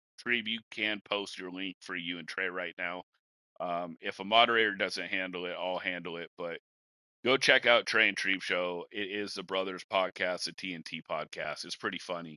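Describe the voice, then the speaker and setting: A man with a Washington State accent speaks at a moderate pace in a very deep, low voice with a bright, sharp tone and fairly even intonation. His loudness swings widely, and the sound is dry and close with no echo against a quiet background. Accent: rural Washington. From rural eastern Washington. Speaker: podcast host. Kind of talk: casual chat.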